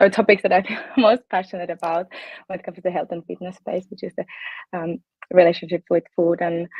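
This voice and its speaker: Speaking at a very fast pace yet with long, frequent pauses, a woman with a fairly low pitch keeps her intonation fairly even while her loudness swings widely. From Finland. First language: Finnish. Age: 20s. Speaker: fitness coach. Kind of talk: interview. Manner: hesitant, many fillers.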